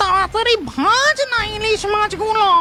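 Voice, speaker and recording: An extremely high, cartoonish character voice comes through noticeable background noise. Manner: excited, eager.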